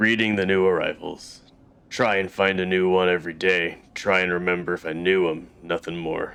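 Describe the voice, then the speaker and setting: A man uses a put-on character voice with a very deep, low pitch. His intonation is monotone and flat over a quiet background. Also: moderate pace. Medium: actual play. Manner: gruff, rueful, blunt.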